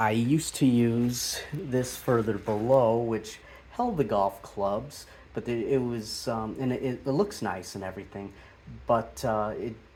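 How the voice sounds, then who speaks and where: A man speaks at a fairly slow pace. His medium pitch shows ordinary variation. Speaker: golf YouTuber. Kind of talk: casual video tour. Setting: backyard golf simulator shed. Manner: hesitant, many fillers.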